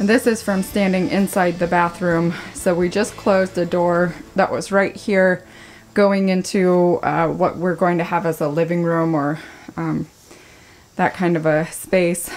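Fairly even intonation marks a woman speaking at a fairly slow pace with a fairly low pitch. She has a plain, everyday voice. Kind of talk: casual vlog chat. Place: bathroom. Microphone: phone near.

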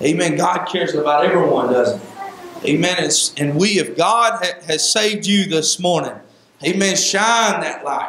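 Moderate pace and ordinary pitch variation from a man with a high pitch, with audible room echo. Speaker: Sunday school teacher, preacher. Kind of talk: Sunday school Bible lesson in a preaching style, with repeated 'amen' calls. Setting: church. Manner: earnest and exhortative, conversational, with filler 'uh' and frequent 'amen'. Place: church. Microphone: handheld.

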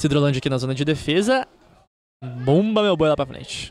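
Fast and animated, a speaker with a Brazilian accent talks at a very fast pace with lively intonation. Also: man. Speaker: football commentator. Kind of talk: live commentary. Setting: stadium broadcast booth.

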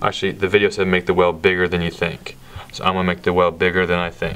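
This man's voice sits very deep and low in pitch. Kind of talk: casual cooking commentary. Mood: joking, unsure. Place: kitchen.

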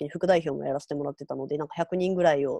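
A woman talks at a very fast pace in a dark, mellow tone, with a dry sound that has no echo and a quiet background. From Hyogo, Kansai, Japan; Hyogo, Japan. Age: 20s. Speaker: writer; interview guest. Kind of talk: interview. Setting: online live interview. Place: home room. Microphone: earbuds.

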